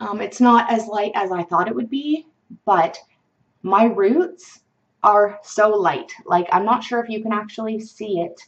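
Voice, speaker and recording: Her Canadian accent clear, a woman speaks at a fairly slow pace with a fairly high pitch and ordinary pitch variation. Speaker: beauty vlogger. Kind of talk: product review vlog. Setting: home webcam recording.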